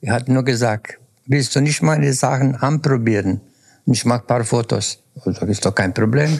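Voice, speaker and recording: A man's somewhat breathy voice holds a very even loudness throughout. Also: medium pitch for a man, ordinary pitch variation, moderate pace. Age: 70s. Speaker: senior influencer. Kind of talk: casual interview chat. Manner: calm, relaxed.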